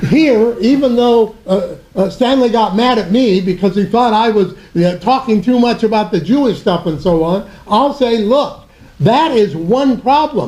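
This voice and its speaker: A man with a high pitch talks at a fairly slow pace with hardly any pauses. His loudness stays very even, and audible room echo surrounds him. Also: ordinary pitch variation. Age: 80s+. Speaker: panelist, academic. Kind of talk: panel discussion. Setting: theatre event with audience. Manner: animated.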